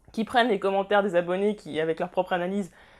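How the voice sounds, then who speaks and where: A woman with a medium-pitched voice talks at a very fast pace. The recording is very clean, with a silent background. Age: 20s. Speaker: YouTuber. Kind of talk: casual vlog monologue.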